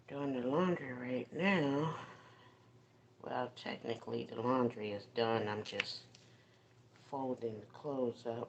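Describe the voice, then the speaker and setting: A soft-spoken woman with a very deep, low pitch, ordinary pitch variation, a fairly slow pace, long, frequent pauses and noticeable background noise. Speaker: livestream host. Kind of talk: casual livestream chat. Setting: phone livestream while folding laundry. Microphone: phone mic.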